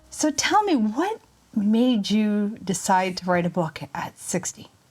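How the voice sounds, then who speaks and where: Against noticeable background noise, a woman speaks at a medium pitch and a very slow pace. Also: lively intonation. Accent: Canadian. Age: 50s. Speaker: podcast host. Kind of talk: interview.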